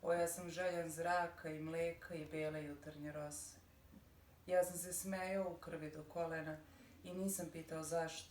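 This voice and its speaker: A woman speaks in a fairly low pitch with flat, monotone intonation. The room echoes audibly and background noise is noticeable. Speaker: poet and radio editor. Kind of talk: poetry reading.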